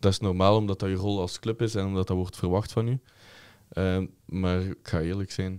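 Man with a very deep, low pitch, monotone, flat intonation, moderate pace, dry sound with no echo, and a quiet background. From Flanders, Belgium. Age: 20s. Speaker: football ultras group member, chant leader; podcast guest or host. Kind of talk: casual chat. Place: studio. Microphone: studio mic.

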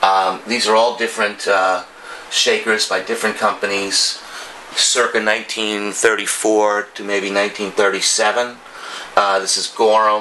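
A man speaks at a fairly low pitch. His pace is moderate, with light background noise behind him. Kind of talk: tour commentary. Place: home room.

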